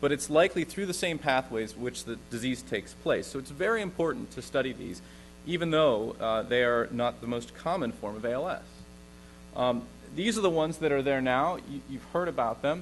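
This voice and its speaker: Lively in intonation, a man with an American accent talks at a fairly quick pace. His pitch sits in the medium range. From US West Coast, Santa Monica, California. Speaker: neurologist and researcher. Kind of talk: lecture. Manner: loud.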